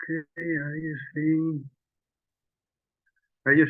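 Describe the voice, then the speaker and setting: A man with a Spanish accent, at a very slow pace. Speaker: startup CEO. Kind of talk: webinar presentation. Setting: online webinar. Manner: halting.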